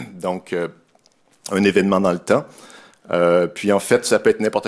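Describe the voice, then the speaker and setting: This man speaks in a Quebec accent at a moderate pace. The background stays quiet. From Quebec, Montreal. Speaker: software developer, conference speaker. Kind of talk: technical conference talk; conference tech talk. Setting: conference room with audience. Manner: hesitant, many fillers. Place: hall.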